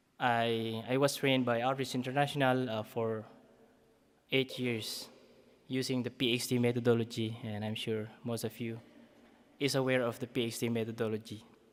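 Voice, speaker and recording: In a Philippine accent, a man speaks at a moderate pace and a medium pitch. His intonation is monotone and flat, broken by long, frequent pauses. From Philippines, Isabela/Cagayan region. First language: Ibanag. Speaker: community development worker. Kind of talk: conference talk. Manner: halting.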